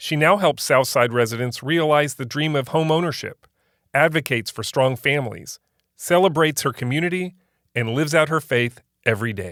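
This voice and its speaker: A plain, everyday voice from a man, fairly high in pitch with ordinary pitch variation, at a fairly quick pace on a very clean recording with a silent background. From Central Florida (Polk County). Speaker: podcast host. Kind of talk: scripted narration; interview conversation.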